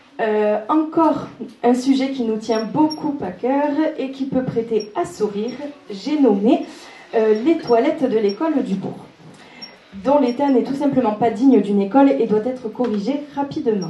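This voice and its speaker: Noticeable background noise and audible room echo surround a woman who speaks high-pitched at a fairly slow pace with ordinary pitch variation. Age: 20s. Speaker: local election candidate, beautician. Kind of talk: reading prepared statement.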